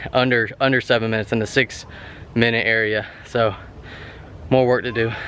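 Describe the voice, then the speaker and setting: A man talks at a very fast pace with ordinary pitch variation. There is light background noise. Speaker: fitness vlogger. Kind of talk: casual vlog chat.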